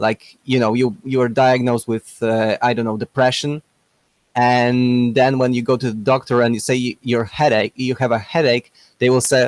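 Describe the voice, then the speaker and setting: Speaking in a flat monotone at a moderate pace, a man of medium pitch with a non-native accent sounds dry and close, with no echo. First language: not English. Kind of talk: casual debate. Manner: halting.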